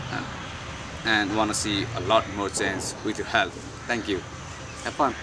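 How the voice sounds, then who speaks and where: Noticeable background noise sits under a man who speaks at a moderate pace in a fairly low pitch. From Pokhara, Nepal. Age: 20s. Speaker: teaching coordinator. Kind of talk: casual talk to camera. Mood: warm, earnest. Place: garden.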